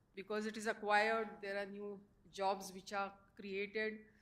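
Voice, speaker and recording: A woman talks at a fairly high pitch. The room echo is audible. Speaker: professor. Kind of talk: panel presentation. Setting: conference stage with audience. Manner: hesitant, many fillers.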